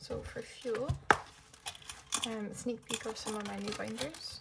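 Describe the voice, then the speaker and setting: A soft-spoken woman whispers at a fairly slow pace in a British accent, with noticeable background noise behind her. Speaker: budgeting vlogger. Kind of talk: casual vlog tutorial. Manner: soft, near-whispering.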